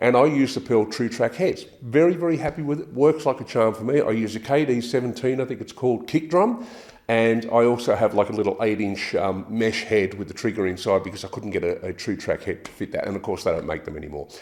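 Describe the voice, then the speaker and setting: With an Australian accent, a man at a medium pitch talks at a very fast pace with lively intonation. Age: 60s. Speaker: drummer reviewing gear. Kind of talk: product review. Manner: casual, some hesitations and repeats.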